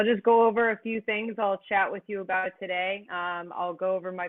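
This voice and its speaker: A plain, everyday voice from a woman in an American accent. She talks at a moderate pace with fairly even intonation. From US South, Florida. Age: 20s. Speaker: sailing captain. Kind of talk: presentation. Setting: video call. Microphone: connection may drop.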